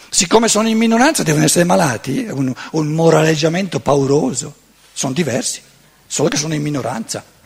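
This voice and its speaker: The speech comes at a very fast pace with lively intonation. Noticeable background noise runs underneath. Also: man, fairly high pitch for a man. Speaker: lecturer on philosophy. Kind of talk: seminar lecture.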